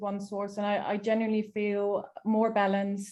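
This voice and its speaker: A woman's fairly high voice, dark and mellow in tone, at a moderate pace. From Netherlands. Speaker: personal development consultant and interior designer. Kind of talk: casual self-introduction in online workshop. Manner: halting, many fillers.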